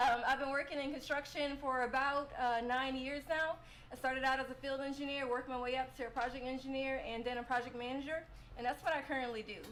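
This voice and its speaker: A woman speaks in a high pitch with fairly even intonation. Noticeable background noise sits behind her. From New Orleans, Louisiana. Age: 30s. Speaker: civil engineer and project manager. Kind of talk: podcast interview.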